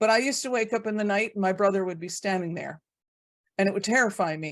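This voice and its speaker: This woman has an unremarkable speaking voice, with a medium pitch and ordinary pitch variation. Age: 60s. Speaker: host and abuse survivor advocate. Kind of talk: group video call discussion.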